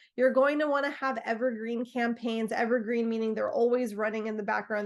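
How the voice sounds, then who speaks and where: Talking at a fairly quick pace, a woman with an unremarkable speaking voice keeps a fairly high pitch and fairly even intonation. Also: hardly any pauses. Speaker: marketing agency presenter. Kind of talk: webinar presentation.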